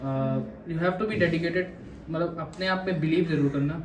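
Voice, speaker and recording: Music plays in the background amid audible room echo. A man speaks at a moderate pace and a fairly high pitch. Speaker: maritime cadet. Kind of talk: interview.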